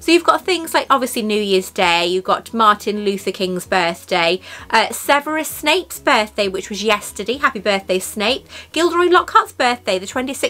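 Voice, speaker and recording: Raising and projecting her voice at a moderate pace, a woman swings her pitch very widely. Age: 40s. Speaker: YouTuber. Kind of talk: product unboxing vlog. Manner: animated. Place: home room.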